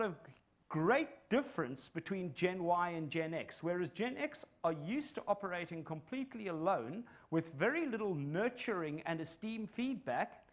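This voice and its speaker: Speaking at a moderate pace with a South African accent, a man uses a high voice that swings very widely in pitch. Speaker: psychologist and business consultant. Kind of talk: conference talk.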